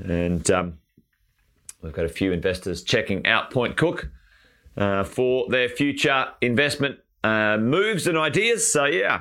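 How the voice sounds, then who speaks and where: A man with an Australian accent talks at a fairly slow pace in a bright, sharp tone, his pitch swinging very widely. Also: medium pitch for a man. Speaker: property investment coach. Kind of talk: live stream chat with viewers. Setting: live stream. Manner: animated.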